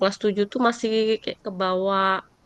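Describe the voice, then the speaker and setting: A woman talks with a Javanese accent. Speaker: middle school teacher. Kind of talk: coaching conversation. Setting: video call. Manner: casual, hesitant with fillers.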